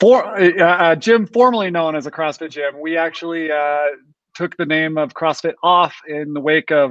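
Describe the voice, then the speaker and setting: A man talks in a plain, everyday voice with an American accent. His pitch is fairly high, with ordinary variation, and his pace is moderate. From Utah, Ogden. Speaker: chiropractor, panel guest. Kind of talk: casual interview introduction.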